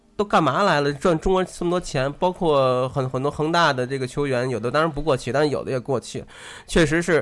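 Speaking at a fairly quick pace, a man with a plain, everyday voice and fairly high pitch uses ordinary pitch variation on a very clean recording with a silent background. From Tianjin, China. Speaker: football fan. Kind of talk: casual chat.

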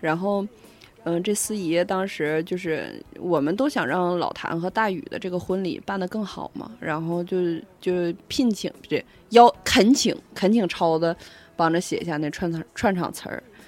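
Ordinary pitch variation accompanies speech that moves at a fairly slow pace. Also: woman, fairly low pitch for a woman. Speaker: podcast co-host. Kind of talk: casual chat. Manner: loud.

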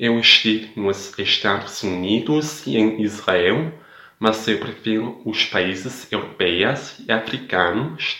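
A man speaks at a very slow pace. His voice is fairly low in pitch, with a bright, sharp tone. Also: ordinary pitch variation. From Denmark. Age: 20s. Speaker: language learner. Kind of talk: recorded listener message.

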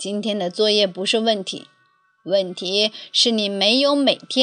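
In this plain reading aloud, the pitch shows ordinary variation.

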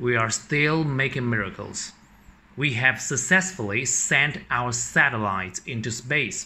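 A man with a Chinese accent, medium pitch and ordinary pitch variation, at a fairly slow pace. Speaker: English teacher. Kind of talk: reading aloud.

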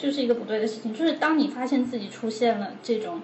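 A woman talks at a fairly high pitch and a fairly quick pace. Audible room echo and noticeable background noise fill the recording. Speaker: psychology PhD student and counselor. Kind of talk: casual chat.

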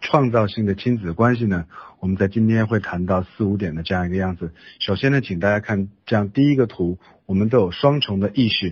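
A man with a Chinese accent, fairly low pitch, ordinary pitch variation and a very fast pace, against a quiet background. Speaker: interpreter. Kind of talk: interpreting a lecture.

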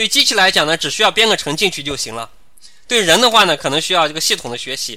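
A man speaks at a very fast pace in a high pitch. His tone is bright and sharp, with very wide pitch swings. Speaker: civil service interview tutor. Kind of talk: online lecture. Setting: live online class platform.

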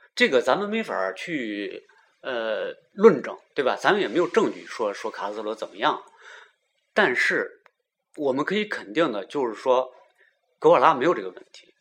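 Leaving long, frequent pauses at a moderate pace, a man with a fairly high pitch and vocal fry shows very wide pitch swings and big swings in loudness. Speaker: podcast host. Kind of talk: casual chat.

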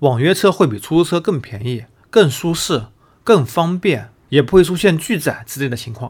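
The man's fairly high, somewhat breathy voice swings very widely in pitch at a moderate pace. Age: 30s. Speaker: podcast host and news commentator. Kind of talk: solo news analysis commentary.

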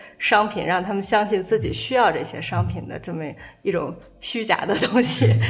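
Speech at a moderate pace shows ordinary pitch variation, with audible room echo. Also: woman. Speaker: author and former fashion magazine editor. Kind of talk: casual chat. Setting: at the host's home.

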